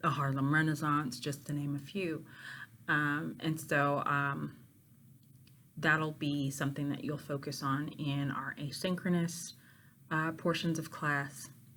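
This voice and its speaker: A woman with an American accent speaks in a very deep, low pitch, her tone bright and sharp and her intonation monotone and flat, with audible echo in the room. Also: fairly slow pace. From Pittsburgh, Pennsylvania, US. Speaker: university literature professor. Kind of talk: course introduction to students. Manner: casual with many filler ums.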